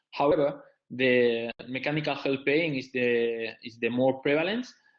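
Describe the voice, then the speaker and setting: Speaking in a medium pitch, the man has a non-native accent and fairly even intonation. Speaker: visiting professor, physiotherapy presenter. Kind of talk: webinar lecture. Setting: online webinar. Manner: halting; slow.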